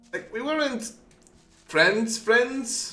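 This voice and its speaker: A raised, projected voice speaks at a very slow pace against noticeable background noise. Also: man. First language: not English. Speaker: gaming streamer. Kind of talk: live gameplay commentary. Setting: live stream. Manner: casual, halting with repetitions.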